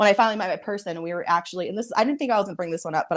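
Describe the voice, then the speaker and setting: A woman is speaking. Her intonation is lively. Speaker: psychic medium. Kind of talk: casual chat. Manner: fast.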